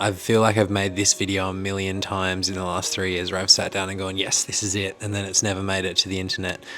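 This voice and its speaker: Noticeable background noise sits behind a man with an Australian accent and a fairly low pitch. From Australia (Hobart, Tasmania). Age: 20s. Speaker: actor and content creator. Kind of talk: personal vlog confession.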